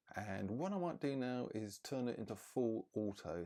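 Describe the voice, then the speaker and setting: A soft-spoken man with a dark, mellow tone at a fairly slow pace. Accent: British. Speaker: camera reviewer. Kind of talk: tutorial.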